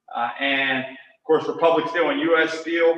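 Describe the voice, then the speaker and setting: A man speaks with an American accent, with audible room echo around him. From western Pennsylvania, Cambria County. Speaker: author and college teacher. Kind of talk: lecture. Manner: frequent filler uh.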